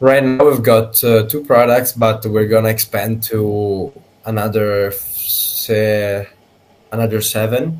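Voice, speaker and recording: Speaking at a very slow pace with an Italian accent, a man uses a medium pitch and fairly even intonation amid noticeable background noise. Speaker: company executive. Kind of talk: business video call. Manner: halting.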